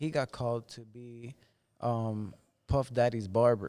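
Here a man talks with a medium pitch. His pace is fairly slow and his intonation fairly even. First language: Spanish. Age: 30s. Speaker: barber. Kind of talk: casual chat.

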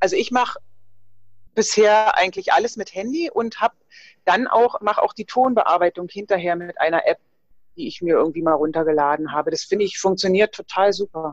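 A woman with a normal speaking voice talks at a fairly quick pace with lively intonation and medium pitch, the sound dry and close with no echo. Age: 50s. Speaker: fitness trainer and nutrition coach. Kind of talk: casual interview.

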